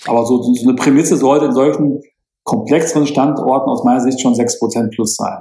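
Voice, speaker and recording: A man's dark, mellow tone at a moderate pace with fairly even intonation. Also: medium pitch for a man. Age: 50s. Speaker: financial planner and property investor. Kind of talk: interview. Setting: video call.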